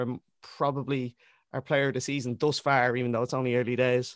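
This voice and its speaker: A speaker with a Dublin accent talks at a fairly quick pace. The sound is dry and close, with no echo. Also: man. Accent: Dublin Irish. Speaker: rapper and football fan. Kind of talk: casual chat. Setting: video call.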